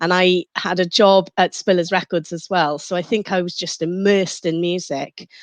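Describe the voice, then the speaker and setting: A woman at medium pitch speaks with a Welsh accent, the sound dry and close with no echo over a quiet background. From Mid Wales. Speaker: radio presenter and DJ. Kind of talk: interview.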